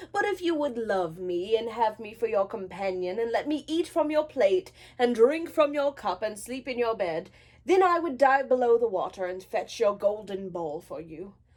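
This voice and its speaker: Put-on character voice from a woman, pitched fairly high. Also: moderate pace. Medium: read story. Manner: old-fashioned formal speech.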